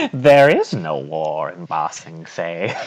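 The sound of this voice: A man adopts a put-on character voice pitched very deep and low, speaking fairly slowly.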